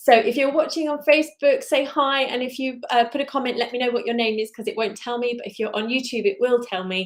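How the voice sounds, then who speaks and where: Talking very fast with hardly any pauses, a woman uses a high voice. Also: ordinary pitch variation. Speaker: crochet designer. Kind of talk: live stream chat. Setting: live stream.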